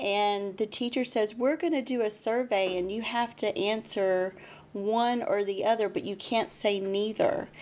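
A woman's fairly high voice, fairly slow in pace, with ordinary pitch variation. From Texas. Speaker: school board candidate, nurse, mother; candidate. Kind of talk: interview. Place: studio. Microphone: studio mic.

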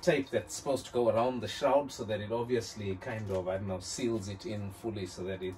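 Over light background noise, a man talks in an unremarkable speaking voice with ordinary pitch variation. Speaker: car parts vlogger. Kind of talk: casual vlog chat. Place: home room.

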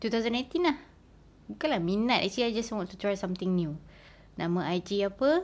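A woman speaks at a moderate pace. Her pitch sits in the middle range. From Malaysia, Kelantan; Malaysia. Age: 30s. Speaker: ASMR YouTuber. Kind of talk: casual Q&A vlog.

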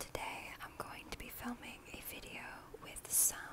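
A woman is whispering. Her pace is very slow. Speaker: ASMR creator. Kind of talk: ASMR whisper video. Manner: whispered, soft-spoken. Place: home room. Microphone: earbuds.

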